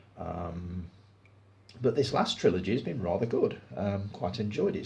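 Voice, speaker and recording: Amid audible room echo, a man speaks in a relaxed tone at a very deep, low pitch. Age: 60s. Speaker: film review YouTuber. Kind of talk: casual chat. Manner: relaxed pace.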